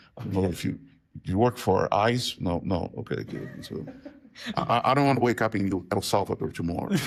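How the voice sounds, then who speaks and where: A man with a fairly low pitch and ordinary pitch variation talks at a fairly quick pace amid noticeable background noise. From Brazil, Rio de Janeiro. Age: 60s. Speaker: professor of religion. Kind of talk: interview, casual conversation.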